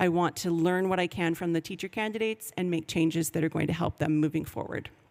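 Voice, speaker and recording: A woman at a very fast pace, fairly low pitch, fairly even intonation, and a Canadian accent. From Canada, Vancouver. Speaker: professor. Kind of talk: conference presentation.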